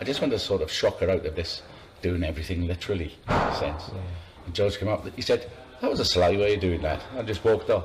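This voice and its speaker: With music in the background, a man speaks very fast with a South Welsh accent. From Swansea, South Wales. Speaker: sail training watch officer. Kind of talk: oral history interview.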